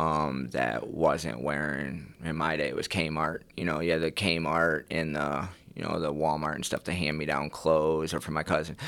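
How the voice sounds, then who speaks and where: A man with an American accent speaks at a fairly slow pace in a very deep, low pitch with vocal fry. The recording is very clean, with a silent background. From small-town US. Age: 30s. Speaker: person in addiction recovery. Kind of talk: personal testimony in interview. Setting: studio. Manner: halting, many fillers.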